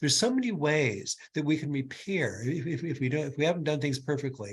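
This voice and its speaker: Somewhat breathy and fairly high, a man's voice moves at a fairly quick pace with lively intonation. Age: 70s. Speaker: clinical neuropsychologist. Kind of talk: webinar Q&A answer. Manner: halting, many repetitions.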